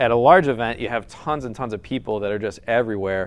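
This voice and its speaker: The man's speech comes at a very fast pace. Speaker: gaming ministry leader. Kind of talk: talk to live audience. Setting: stage with audience.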